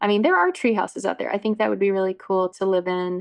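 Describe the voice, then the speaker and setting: A woman speaks against a quiet background. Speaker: podcast host, marketing coach. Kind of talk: casual chat. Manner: loud.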